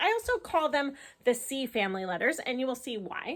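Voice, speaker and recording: Raised and projected, a woman's voice has a bright, sharp tone and very wide pitch swings at a moderate pace. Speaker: elementary school teacher. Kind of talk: tutorial.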